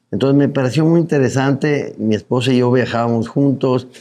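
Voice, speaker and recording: The man's dark, mellow tone sits at a medium pitch. He moves at a fairly quick pace with fairly even intonation. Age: 70s. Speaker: journalist and advertising businessman. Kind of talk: interview.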